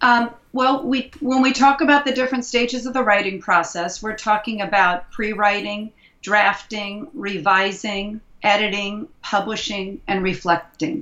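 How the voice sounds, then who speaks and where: A woman with an American accent, fairly high in pitch with ordinary pitch variation, at a fairly slow pace amid noticeable background noise. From US Midwest (Indianapolis, Indiana). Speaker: education consultant and author. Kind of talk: interview.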